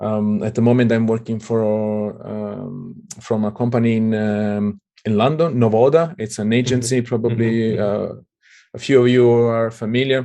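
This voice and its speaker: A man with an Italian accent speaks at a moderate pace and medium pitch. His tone is dark and mellow, with fairly even intonation. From southern Italy. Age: 30s. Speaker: Android developer. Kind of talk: interview.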